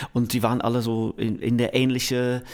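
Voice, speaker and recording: Speaking at a medium pitch, a man talks with an English accent. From England, Manchester. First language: English (speaking German). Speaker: music producer. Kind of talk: interview. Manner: halting.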